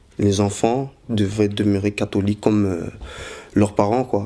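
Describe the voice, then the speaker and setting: A man talks in a flat monotone, his fairly low voice holding a moderate pace. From Belgium, Brussels. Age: 20s. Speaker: convert telling his story. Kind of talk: testimony. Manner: halting, many hesitations.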